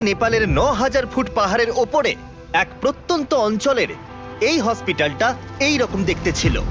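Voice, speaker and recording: Over background music, a man with an extremely high pitch talks with lively intonation at a very even loudness. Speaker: dubbing voice-over artist. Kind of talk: documentary-style video narration. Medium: dub.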